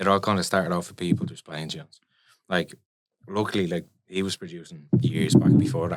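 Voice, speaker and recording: In a Dublin accent, a man with a very deep, low pitch speaks at a fairly quick pace with lively intonation and big swings in loudness. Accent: Dublin Irish. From Ireland, Dublin. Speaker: electronic music producer and DJ. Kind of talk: casual interview chat.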